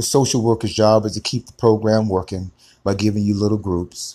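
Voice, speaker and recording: Fairly low in pitch and dark, mellow in tone, a man speaks at a fairly quick pace on a very clean recording with a silent background. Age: 60s. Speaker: life coach. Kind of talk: motivational monologue. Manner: animated.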